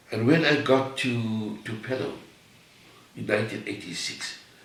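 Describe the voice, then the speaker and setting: Both noticeable background noise and audible room echo can be heard in this clip. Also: man. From South Africa, Cape Town. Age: 80s+. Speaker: artist. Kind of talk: interview.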